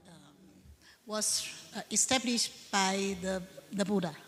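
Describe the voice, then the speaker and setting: Speaking very slowly, a woman has a bright, sharp tone. She talks with a non-native accent. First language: not English. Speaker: Buddhist nun, conference panelist. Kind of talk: panel Q&A answer. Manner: halting, many hesitations.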